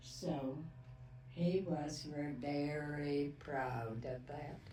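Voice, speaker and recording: With an American accent, a woman speaks at a very slow pace in a very deep, low voice, with fairly even intonation, long and frequent pauses, and noticeable background noise. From Wisconsin. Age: 80s+. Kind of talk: interview answer. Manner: slow, hesitant.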